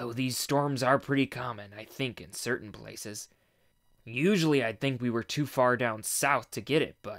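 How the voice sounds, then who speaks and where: Using a put-on character voice, a man speaks raspily at a moderate pace and medium pitch, with big swings in loudness. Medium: read story. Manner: measured, hedging.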